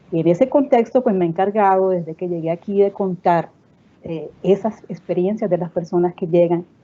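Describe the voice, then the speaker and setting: This woman's voice sits fairly low in pitch. She talks at a moderate pace. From Colombian Caribbean coast. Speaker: cultural network director. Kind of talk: panel discussion.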